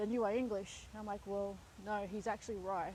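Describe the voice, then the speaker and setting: Her tone is dark and mellow, yet fairly high in pitch. A woman speaks at a moderate pace. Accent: Australian. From Australia. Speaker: vlogger. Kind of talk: casual monologue. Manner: conversational with fillers.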